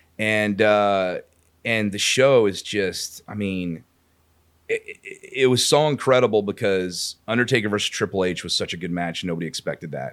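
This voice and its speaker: A man with an American accent and an unremarkable speaking voice, fairly low in pitch with ordinary variation, at a moderate pace. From Houston, Texas. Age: 40s. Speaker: sports radio host. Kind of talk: casual chat. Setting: studio.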